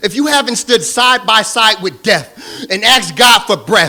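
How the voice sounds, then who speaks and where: Passionate and intense, a man speaks with an American accent in a bright, sharp tone at a moderate pace, his pitch swinging very widely. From Southern California. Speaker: spoken word poet. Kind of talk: spoken word poetry performance. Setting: live stage. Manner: passionate, intense.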